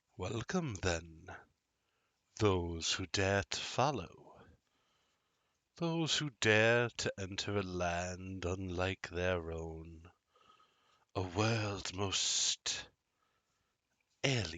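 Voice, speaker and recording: A man puts on a character voice with very deep, low pitch, moving at a very slow pace with long, frequent pauses. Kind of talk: archaic formal. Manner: eerie, ceremonial.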